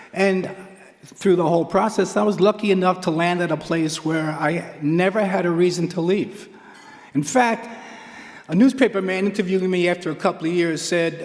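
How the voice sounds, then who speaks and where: Over noticeable background noise, a man with an American accent and a high pitch speaks at a moderate pace with fairly even intonation. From New York, Queens. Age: 70s. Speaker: track and field coach, hall of fame inductee. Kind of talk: acceptance speech.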